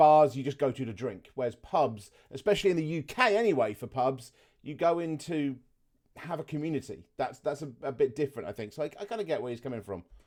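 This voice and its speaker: The delivery is very fast. Lively intonation runs through it. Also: man, fairly high pitch for a man. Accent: southern English. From southeast England. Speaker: gaming reaction youtuber. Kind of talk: casual gameplay commentary.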